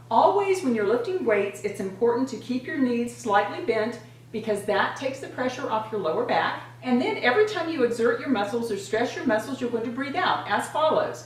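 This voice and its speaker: Over noticeable background noise and audible room echo, a woman with a high pitch and lively intonation talks at a fairly quick pace. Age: 60s. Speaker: fitness and beauty vlogger. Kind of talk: exercise tutorial.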